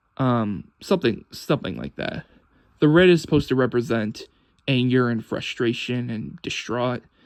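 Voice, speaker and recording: Against a quiet background, a man with a normal speaking voice talks at a moderate pace and medium pitch, his intonation lively. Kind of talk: casual talk to camera. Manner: subdued.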